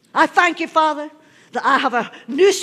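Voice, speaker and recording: A woman with a high voice and a bright, sharp tone speaks at a moderate pace. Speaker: pastor. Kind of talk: sermon. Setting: church. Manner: animated. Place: church.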